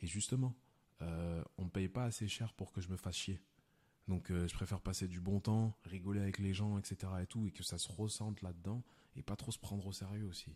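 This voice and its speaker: Fairly low in pitch with a dark, mellow tone, a man speaks at a moderate pace with fairly even intonation. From France, Lyon. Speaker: film director and stand-up comedian. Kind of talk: casual chat.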